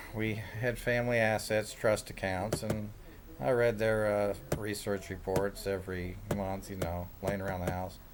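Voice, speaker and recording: A man with a Midwestern American accent and a fairly low pitch. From Kansas, Kansas City area. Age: 60s. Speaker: self-described day trader. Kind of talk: casual monologue. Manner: rambling, with filler words.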